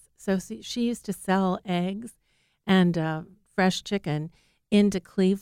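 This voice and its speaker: An unremarkable speaking voice with an American accent moves at a fairly slow pace and lively intonation. The recording is very clean with a silent background, dry and close with no echo. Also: woman. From US Midwest (Ohio, Medina County farm). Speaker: food retail product scout. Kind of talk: interview conversation. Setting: studio.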